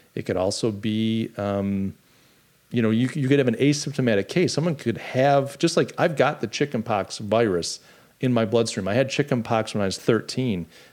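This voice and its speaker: A man with a plain, everyday voice speaks at a moderate pace and medium pitch, with ordinary pitch variation. The recording is very clean, with a silent background. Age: 50s. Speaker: podcast host. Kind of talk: casual political chat livestream. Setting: live stream.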